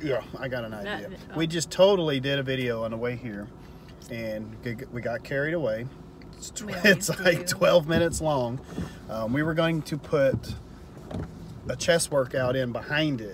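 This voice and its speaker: Man at a moderate pace with long, frequent pauses and big swings in loudness, dry sound with no echo and noticeable background noise. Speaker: fitness vlogger. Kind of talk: casual vlog chat. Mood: relaxed, joking. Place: car. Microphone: phone near.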